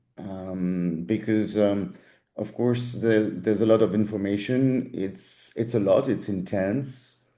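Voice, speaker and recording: In audible room echo, a man with a dark, mellow tone and medium pitch speaks at a fairly slow pace with ordinary pitch variation. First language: German. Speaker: language school teaching director. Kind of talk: info session Q&A. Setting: video call.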